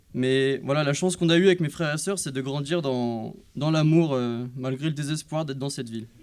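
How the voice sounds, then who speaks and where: Pitched fairly high, a man's voice moves at a fairly quick pace with hardly any pauses and ordinary pitch variation. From France, Loiret (Montargis). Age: 20s. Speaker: church member giving baptism testimony. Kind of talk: testimony. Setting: church service. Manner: hesitant, many filler sounds.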